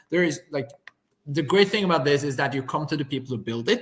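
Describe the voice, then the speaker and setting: A man with a fairly high pitch and a Norwegian accent, at a fairly quick pace. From Norway. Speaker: company founder. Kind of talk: live webinar demo conversation.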